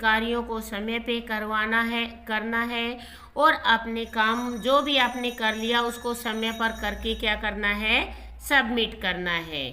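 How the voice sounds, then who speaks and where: Through audible room echo, a woman speaks very slowly in a fairly high voice. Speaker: tutor teaching a school class. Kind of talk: lecture.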